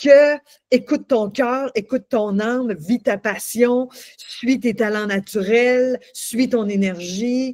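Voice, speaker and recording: A high-pitched woman's voice at a very slow pace, with ordinary pitch variation and a dry, close sound with no echo. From Quebec. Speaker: coach and singer. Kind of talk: interview. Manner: halting, many repetitions.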